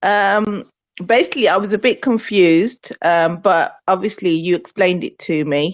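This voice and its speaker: In a Birmingham accent, a woman speaks at a moderate pace with a medium pitch and ordinary pitch variation. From Birmingham, England. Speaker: network marketer. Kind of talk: testimony.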